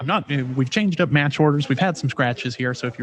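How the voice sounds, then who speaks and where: A man at a very fast pace and fairly high pitch, over noticeable background noise. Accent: American. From Texas. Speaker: sports commentator. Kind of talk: live commentary. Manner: casual; animated.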